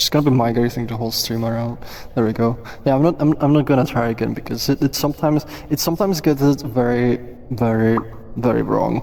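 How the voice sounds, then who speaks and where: A man with a Czech accent at medium pitch, very fast pace and fairly even intonation, with noticeable background noise. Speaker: VR platform developer and livestream host. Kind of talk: casual livestream chat. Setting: social VR livestream. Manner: halting, many fillers.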